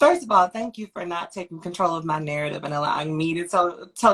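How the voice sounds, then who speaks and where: In an ordinary speaking voice, a woman talks at a fairly quick pace and a fairly low pitch with ordinary pitch variation. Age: 20s. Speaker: activist and performance artist. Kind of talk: interview.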